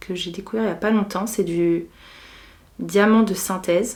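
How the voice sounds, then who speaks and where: A woman's medium-pitched voice, relaxed in tone and flat in a monotone. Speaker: beauty and lifestyle vlogger. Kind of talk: casual chat. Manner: relaxed, unhurried.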